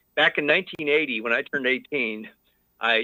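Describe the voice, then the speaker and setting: Speaking at a moderate pace, a man has a fairly high pitch. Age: 60s. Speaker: caller. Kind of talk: call-in conversation. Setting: phone call. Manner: halting, many fillers.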